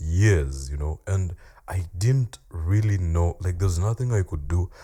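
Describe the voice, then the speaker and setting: A man's very deep, low voice, somewhat breathy, with a dark, mellow tone. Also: ordinary pitch variation. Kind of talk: casual talk to camera.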